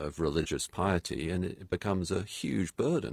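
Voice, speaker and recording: A man speaks fairly slowly in a British accent. The recording is very clean, with a silent background. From England. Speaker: pastor and author. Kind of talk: radio interview. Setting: home studio.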